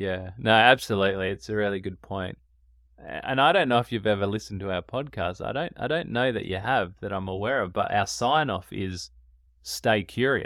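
A man with an Australian accent, fairly low pitch and lively intonation, at a moderate pace, in a very clean recording with a silent background. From Australia, Adelaide. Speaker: podcast host, couples therapist. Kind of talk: interview. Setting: in-person studio.

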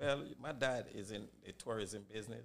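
There's vocal fry in this man's fairly low voice. He speaks with a Jamaican accent at a moderate pace. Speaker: barbershop owner. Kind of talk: casual chat.

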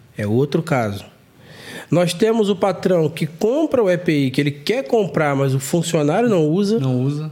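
A man talks at a fairly slow pace in a dark, mellow tone. His intonation is lively. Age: 40s. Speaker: construction contractor and content creator. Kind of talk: casual chat.

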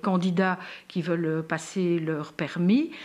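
A woman at a medium pitch, speaking at a very slow pace. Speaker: podcast host and patient advocate. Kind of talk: live-stream interview. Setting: Facebook live stream.

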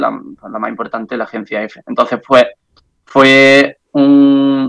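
In an Andalusian accent, a man speaks at a fairly slow pace and a fairly high pitch. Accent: Andalusian (Jaén), keeps it. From Andalusia, Jaén. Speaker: journalist, news agency correspondent. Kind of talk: casual interview.

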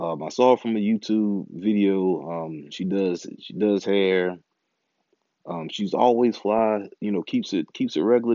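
This is an ordinary speaking voice from a man, fairly low in pitch. He speaks at a fairly slow pace with ordinary pitch variation. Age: 30s. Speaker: podcast host. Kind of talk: casual monologue.

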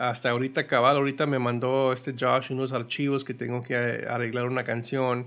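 With hardly any pauses, a man talks in a monotone, flat intonation. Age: 40s. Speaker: guitarist and music producer. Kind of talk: casual interview. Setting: home studio. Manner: halting, many repetitions and fillers.

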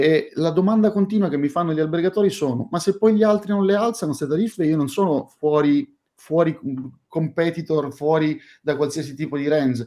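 Fairly high in pitch yet dark and mellow in tone, a man talks at a fairly quick pace with ordinary pitch variation. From Sicily, Catania. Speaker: hotel management consultant. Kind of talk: casual professional discussion.

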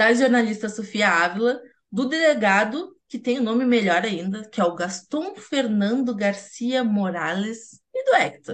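A woman at a fairly high pitch, somewhat breathy, fairly slow, with lively intonation and hardly any pauses. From Rio Grande, Rio Grande do Sul, Brazil. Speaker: podcast host, journalist. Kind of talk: casual chat.

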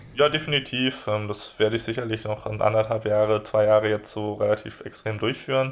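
Over noticeable background noise, a man speaks with fairly even intonation and hardly any pauses. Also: fairly quick pace. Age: 20s. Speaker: blogger and online entrepreneur on emigration and offshore business. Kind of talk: podcast interview. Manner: hesitant with many fillers.

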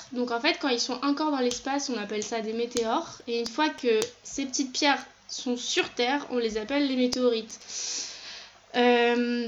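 Intonation stays fairly even while the pace remains moderate. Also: woman, high pitch for a woman. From France. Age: 20s. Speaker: physics student. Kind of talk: interview testimony. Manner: halting.

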